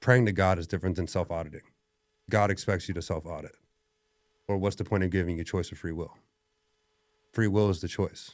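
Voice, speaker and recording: On a very clean recording with a silent background, a man with a very deep, low pitch speaks with long, frequent pauses. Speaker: strength coach and gym owner. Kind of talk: podcast conversation. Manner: loud; animated.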